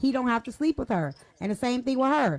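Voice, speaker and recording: A woman talks at a very fast pace with a high pitch and lively intonation. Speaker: panel host. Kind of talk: heated debate.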